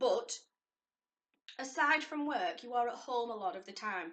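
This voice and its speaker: A woman's fairly high voice in a Lancashire accent. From northern England, Lancashire. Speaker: lifestyle vlogger. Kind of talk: casual vlog talk to camera.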